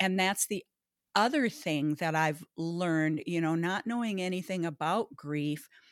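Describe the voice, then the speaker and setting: Here a woman speaks with a Minnesota accent. The recording is very clean with a silent background, and the sound is dry and close with no echo. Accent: Upper Midwest American (Minnesota). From northern Minnesota, Baudette. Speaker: grief recovery specialist and parent educator. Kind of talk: interview.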